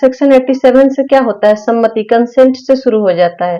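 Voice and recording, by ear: Her tone is dark and mellow, set at a fairly high pitch for a woman. She speaks at a moderate pace with ordinary pitch variation.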